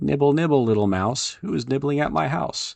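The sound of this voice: A man does a squeaky put-on character voice at a medium pitch with very wide pitch swings. His pace is fairly quick.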